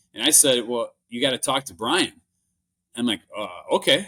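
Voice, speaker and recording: With a Minnesotan accent, the voice has a bright, sharp tone and ordinary pitch variation, in a dry, close sound with no echo. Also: man. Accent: Minnesota. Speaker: business acquirer, entrepreneur. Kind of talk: interview conversation. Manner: halting, many restarts and fillers.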